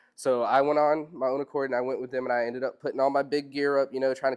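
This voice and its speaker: Speaking very fast, a man with an American accent holds a medium pitch. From US South, Robeson County, North Carolina. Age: 20s. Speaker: fisherman, seminar speaker. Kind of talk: public talk to audience. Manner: hesitant, many fillers.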